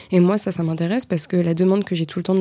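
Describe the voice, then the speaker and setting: A woman's fairly low voice at a very fast pace, with fairly even intonation and noticeable background noise. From Normandy, France. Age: 20s. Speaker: marketing agency co-founder. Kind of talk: interview.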